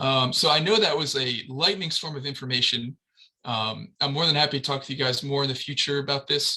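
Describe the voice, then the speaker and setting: A man's fairly high voice, bright and sharp in tone, with ordinary pitch variation and a fairly quick pace. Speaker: transportation planner. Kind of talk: presentation. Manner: fast.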